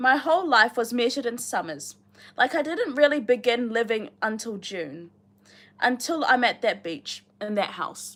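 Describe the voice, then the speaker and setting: In a very clean recording with a silent background, a woman with a New Zealand accent speaks at a moderate pace and fairly high pitch, her pitch swinging very widely. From New Zealand, Rotorua. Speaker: booktuber reading a novel aloud on a livestream. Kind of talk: reading aloud with casual chat to live viewers. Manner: casual, chatty with many fillers.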